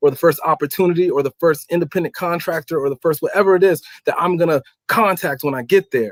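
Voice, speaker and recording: At a very fast pace, a man speaks in an animated tone with ordinary pitch variation, recorded dry and close with no echo. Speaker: stock investor and goal-setting guest. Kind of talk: interview conversation.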